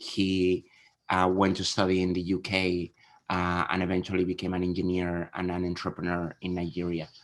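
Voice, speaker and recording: Against a quiet background, a man with a southern Spanish accent and very deep, low pitch speaks at a moderate pace. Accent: Spanish accent from southern Spain. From southern Spain. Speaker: venture capital investor. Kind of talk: panel interview. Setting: video call.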